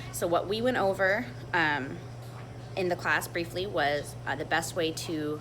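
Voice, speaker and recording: A woman speaks with a very deep, low pitch and lively intonation. Audible room echo and noticeable background noise surround her voice. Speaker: brewery sensory panel leader. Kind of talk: tutorial. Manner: fast.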